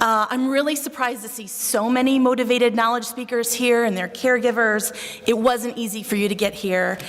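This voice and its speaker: A woman with a Buffalo accent and fairly high pitch speaks at a moderate pace, with noticeable background noise and audible room echo. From Buffalo, New York. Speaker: psychologist. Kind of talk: conference talk. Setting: stage with audience.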